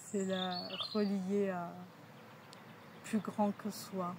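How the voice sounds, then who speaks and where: Very slowly, a woman speaks at a medium pitch. There is noticeable background noise. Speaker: energy healer. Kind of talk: interview. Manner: halting.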